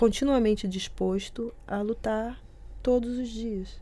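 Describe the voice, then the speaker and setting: A woman speaks at a very slow pace with a Rio de Janeiro accent. Her tone is dark and mellow, and her intonation stays fairly even. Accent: Brazilian Portuguese, Rio (carioca). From Brazil, Rio de Janeiro. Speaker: nutrition researcher. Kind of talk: radio interview. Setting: studio.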